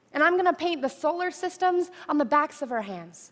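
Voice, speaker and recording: A woman's raised, projected voice with a bright, sharp tone, a moderate pace and ordinary pitch variation. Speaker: spoken word poet. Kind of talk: poetry reading. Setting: stage talk.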